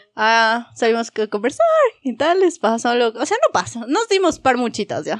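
A woman speaks at a moderate pace in a high voice with very wide pitch swings. The sound is dry and close, with no echo. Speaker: podcast host. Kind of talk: casual chat among friends.

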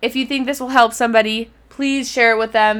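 Her voice is high-pitched and animated. The woman's tone is bright and sharp. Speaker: solo podcast host. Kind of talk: solo podcast monologue. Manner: fast.

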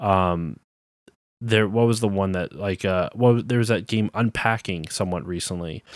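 At a moderate pace, a man with a normal speaking voice talks at a fairly low pitch with ordinary pitch variation, in a very clean recording with a silent background and a dry, close sound with no echo. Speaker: podcast host, game developer. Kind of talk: casual chat.

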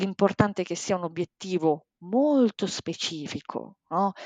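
A woman speaks in an unremarkable speaking voice with ordinary pitch variation. The sound is dry and close with no echo, over a quiet background. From Bologna, northern Italy. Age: 40s. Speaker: life and sports coach. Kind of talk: podcast interview.

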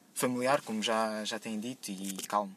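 A man with a European Portuguese accent speaks with ordinary pitch variation. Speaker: podcast segment contributor. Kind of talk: casual monologue.

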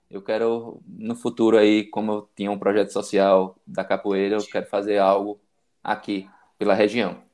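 At a moderate pace, a man with a fairly low voice speaks in a flat monotone over a quiet background. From Bahia interior, Brazil. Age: 40s. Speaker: medical student and para-cyclist. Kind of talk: interview testimony. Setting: live video stream.

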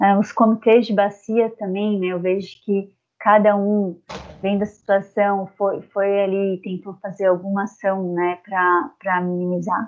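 Her pitch sits at a medium level as this woman talks at a fairly slow pace. Her intonation is flat and monotone. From southern Santa Catarina, Brazil. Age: 30s. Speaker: environmental engineer. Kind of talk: interview. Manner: halting.

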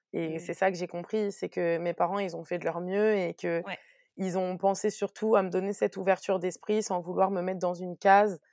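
A woman speaks at a medium pitch, moderate pace, with hardly any pauses and monotone, flat intonation. The sound is dry and close with no echo, on a very clean recording with a silent background. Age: 30s. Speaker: press officer and entrepreneur. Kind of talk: casual interview.

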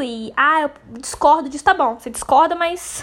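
A woman speaks at a high pitch with ordinary pitch variation. Noticeable background noise is present. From Brazil, interior of Rio de Janeiro state. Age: 20s. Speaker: podcaster. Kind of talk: casual monologue.

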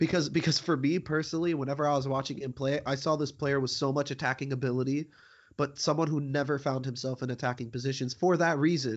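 A man speaks very fast in a fairly high voice. His intonation stays fairly even. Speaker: podcast host. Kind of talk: casual chat. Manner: casual, hesitant with filler words.

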